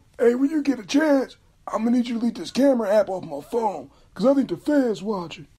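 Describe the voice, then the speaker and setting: A cartoonish character voice rattles along at a very fast pace. Its pitch sits fairly high. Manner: bossy.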